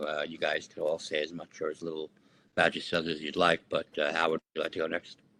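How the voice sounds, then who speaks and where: A man talks at a very fast pace with big swings in loudness, recorded dry and close with no echo. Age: 60s. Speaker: committee chair. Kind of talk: community meeting. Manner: halting.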